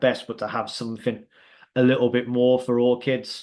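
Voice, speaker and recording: Speaking in a Birmingham accent, a man keeps a moderate pace at a medium pitch. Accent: Birmingham (Brummie), noticeable. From England, Birmingham. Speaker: youth soccer league founder and coach. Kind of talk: informational presentation on a Zoom call. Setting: video call. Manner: hesitant, many fillers.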